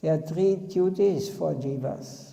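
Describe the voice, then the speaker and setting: The speaker has a non-native accent and talks at a very slow pace. Audible room echo and noticeable background noise fill the recording. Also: man. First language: not English. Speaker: spiritual teacher. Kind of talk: religious discourse. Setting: temple.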